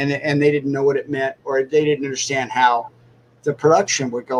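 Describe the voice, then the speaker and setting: A plain, everyday voice from a man, pitched fairly high. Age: 60s. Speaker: cartoonist and animator. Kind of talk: casual interview chat.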